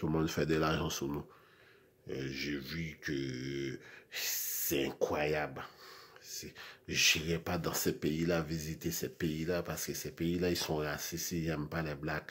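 Using vocal fry and a very deep, low pitch, a man speaks very slowly with fairly even intonation and long, frequent pauses. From Haiti. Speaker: video blogger. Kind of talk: monologue rant. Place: home room. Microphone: phone near.

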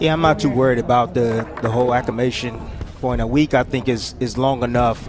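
Over music in the background, a man with a medium-pitched voice talks at a fairly quick pace. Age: 30s. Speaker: boxing analyst, former fighter. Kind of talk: live commentary.

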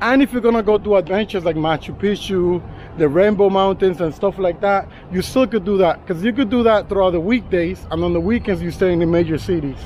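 Over light background noise, a man talks at a very fast pace in a high pitch with ordinary pitch variation, the sound dry with no echo. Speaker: travel vlogger. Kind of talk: casual vlog chat. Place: street. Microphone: phone near.

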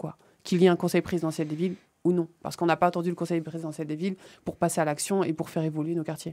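Over a quiet background, a woman speaks at a fairly low pitch in a dark, mellow tone with monotone, flat intonation. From Île-de-France, Seine-Saint-Denis (Villepinte); Île-de-France. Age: young. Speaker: community association founder; guest. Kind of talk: radio interview. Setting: radio studio. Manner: hesitant, many fillers and repetitions. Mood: earnest, engaged. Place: studio. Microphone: studio mic.

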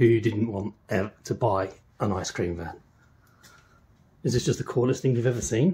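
A man speaks at a moderate pace, his voice somewhat breathy. His pitch varies in an ordinary way. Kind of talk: casual vlog chat. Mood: enthusiastic, playful. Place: garage. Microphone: phone near.

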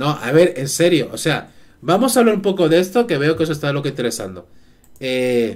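Keeping a moderate pace, a man speaks with very wide pitch swings. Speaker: live streamer. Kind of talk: casual stream chat. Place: home room. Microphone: headset.

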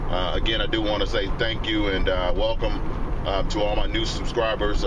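A man at a fairly quick pace, with noticeable background noise. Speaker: fishing vlogger. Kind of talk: casual vlog chat. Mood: relaxed, upbeat. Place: car. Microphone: phone near.

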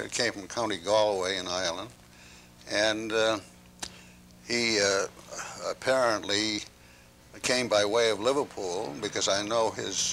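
A man with a Maine accent speaks at a fairly low pitch and a fairly slow pace, with fairly even intonation, long, frequent pauses, and light background noise. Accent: Maine New England. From Portland, Maine, USA. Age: 80s+. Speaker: antiquarian book dealer. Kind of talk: interview answer. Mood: reflective, unhurried recollection. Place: home room. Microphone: lapel.

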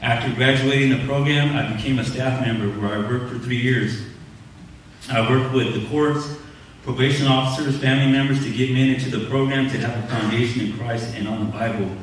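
A man with an American accent talks at a fairly quick pace in a monotone, flat intonation. Strong room echo and light background noise surround him. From Southern California, Inland Empire; Southern California. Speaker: church member being baptized; candidate. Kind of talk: testimony. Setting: church service. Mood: earnest, confessional. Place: church.

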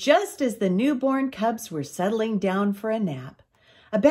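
Pitch varies in an ordinary way through the unforced reading voice.

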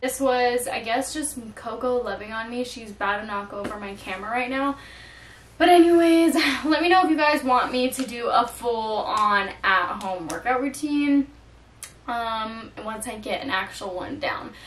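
High-pitched and with big swings in loudness, a woman's voice comes through with audible room echo and light background noise. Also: moderate pace. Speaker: lifestyle vlogger. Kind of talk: casual vlog chat. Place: home room. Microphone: camera far.

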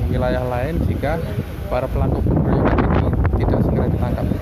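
The speech moves at a moderate pace. The sound is dry with no echo, but noticeable background noise is present. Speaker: news reporter. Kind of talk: field news report. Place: street.

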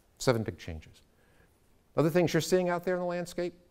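Over a quiet background, a man with an American accent and a dark, mellow tone speaks at a fairly quick pace. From United States. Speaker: education consultant; speaker. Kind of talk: lecture. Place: classroom.

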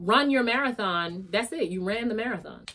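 A woman's fairly high voice, animated in tone, at a moderate pace. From New York. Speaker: YouTuber and special education teacher; YouTuber, special education teacher. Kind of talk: motivational vlog. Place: home room.

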